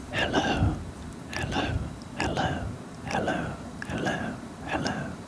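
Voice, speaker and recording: A whisper comes through very slowly, with noticeable background noise behind it. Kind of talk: whispered personal storytime. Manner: whispered; soft-spoken.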